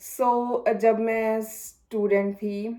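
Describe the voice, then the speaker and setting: A woman speaks with a Punjabi accent. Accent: Punjabi touch in her Hindi. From Punjab, India. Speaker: vlogger. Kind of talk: vlog tutorial.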